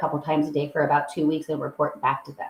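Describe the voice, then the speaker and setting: This woman talks at a very fast pace in a very deep, low voice. Her delivery is somewhat breathy. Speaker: echocardiography sonographer. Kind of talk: educational talk.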